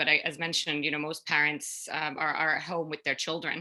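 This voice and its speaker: Against a quiet background, a woman with a Finnish accent speaks in a bright, sharp tone. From Finland. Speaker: food company co-founder. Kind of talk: panel discussion. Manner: halting.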